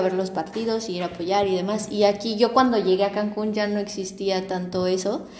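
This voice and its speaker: A woman at a medium pitch talks at a moderate pace with fairly even intonation, and audible room echo surrounds her voice. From Mexico City. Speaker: podcast host. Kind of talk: casual chat.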